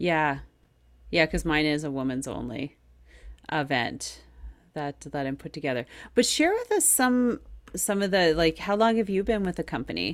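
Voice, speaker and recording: A woman with a very deep, low voice speaks at a moderate pace with an animated tone, very wide pitch swings and long, frequent pauses, in a very clean recording with a silent background. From Quebec, Canada. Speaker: podcast host and cycling coach. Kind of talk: interview.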